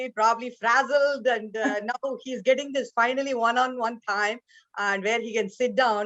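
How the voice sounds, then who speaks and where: The delivery moves at a moderate pace with ordinary pitch variation. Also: woman. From India. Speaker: business leader. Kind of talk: panel discussion. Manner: halting, many fillers.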